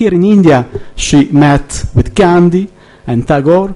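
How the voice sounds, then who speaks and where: Delivery is fairly slow. A dark, mellow tone colors the voice. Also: man. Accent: Italian. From Italy. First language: Italian. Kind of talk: conference speech. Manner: halting, hesitant.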